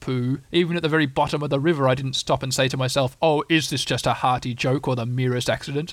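The speaker uses a natural reading voice. The text is read in that natural reading voice.

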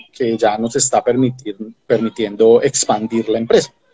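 A man speaks at a moderate pace. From Colombia, Ibagué (Tolima). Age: 30s. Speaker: agronomist and company founder. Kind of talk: interview. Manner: halting, many repetitions and fillers.

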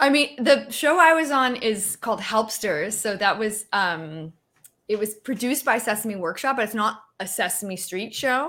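On a very clean recording with a silent background, a woman talks at a moderate pace with a fairly high pitch and lively intonation. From Canada. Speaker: puppeteer and performer. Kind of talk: casual interview. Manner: animated, playful.

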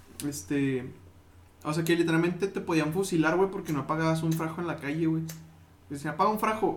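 A man with a fairly high pitch speaks fairly quickly with ordinary pitch variation. Long, frequent pauses break up his speech, and audible room echo is present. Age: 20s. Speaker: podcast co-host and musician. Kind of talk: casual chat.

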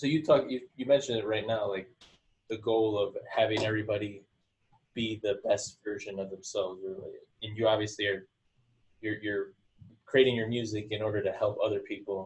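This man talks at a fairly quick pace. His speech has long, frequent pauses. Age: 30s. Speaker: podcast host. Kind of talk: casual interview. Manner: halting.

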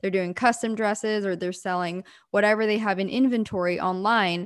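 A woman's ordinary speaking voice with an American accent, medium in pitch, with ordinary pitch variation and a moderate pace. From Pennsylvania, US. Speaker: entrepreneur. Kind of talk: interview conversation.

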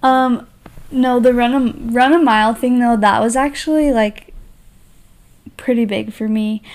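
A woman with an American accent speaks in a high pitch at a fairly slow pace. Her intonation is fairly even, broken by long, frequent pauses. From Utah. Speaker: wardrobe stylist, podcast co-host. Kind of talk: casual chat. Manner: drawn-out, slow words; halting.

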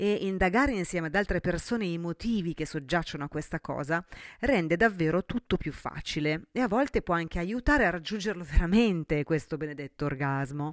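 A woman talks at a fairly quick clip with a fairly low pitch and lively intonation, her tone animated. The sound is dry and close, with no echo. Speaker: sexologist and podcast host. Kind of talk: solo podcast monologue.

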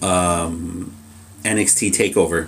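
A man's voice over background music. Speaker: wrestling podcast co-host. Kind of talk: casual chat.

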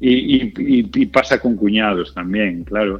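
A man's fairly low-pitched voice. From Galicia, Spain (Culleredo, near A Coruña). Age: 40s. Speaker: actor and comedian. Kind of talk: interview. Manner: halting, many repetitions.

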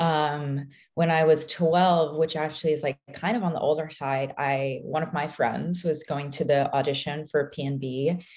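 A very deep, low woman's voice with an American accent, fairly even intonation and a fairly slow pace. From US Pacific Northwest. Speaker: professional ballet dancer. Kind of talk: casual interview.

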